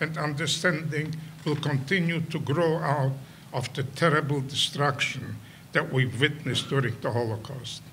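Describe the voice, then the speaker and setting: Over audible room echo, a man speaks fairly slowly at a fairly high pitch with fairly even intonation. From Poland. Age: 90s. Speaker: Holocaust survivor and educator. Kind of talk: prepared speech. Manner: halting.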